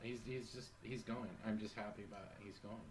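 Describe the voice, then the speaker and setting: A man speaks at a fairly quick pace and medium pitch, somewhat breathy. Audible room echo fills the recording. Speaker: podcast co-host. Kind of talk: casual chat. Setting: home kitchen. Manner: soft-spoken.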